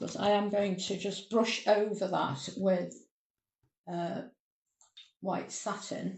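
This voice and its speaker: A woman's voice with vocal fry and fairly even intonation. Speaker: cake decorating tutor. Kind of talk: tutorial.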